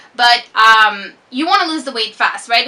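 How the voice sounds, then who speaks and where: Over noticeable background noise, a woman with a slight French Canadian accent speaks at a moderate pace with fairly high pitch and ordinary pitch variation. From Quebec. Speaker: fitness vlogger. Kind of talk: casual chat. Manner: slurs words sometimes.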